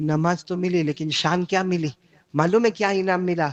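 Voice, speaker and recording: Recorded with a dry, close sound and no echo, a man speaks at a high pitch. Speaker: Islamic preacher / Quran reciter. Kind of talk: religious sermon (bayan) to a live audience. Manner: animated, call-and-response with audience.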